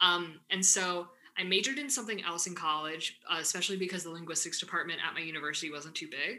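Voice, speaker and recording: A woman with a Midwestern accent, a fairly low pitch, ordinary pitch variation and a very fast pace. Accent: US Midwest English. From Michigan, US Midwest (Ann Arbor). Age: 20s. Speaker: graduate student. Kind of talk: interview.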